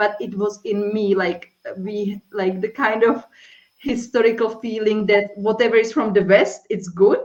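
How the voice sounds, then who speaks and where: Speaking fairly slowly in a monotone, flat intonation, the voice carries a strong non-native accent. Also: woman, fairly high pitch for a woman. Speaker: life and accountability coach. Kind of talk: interview.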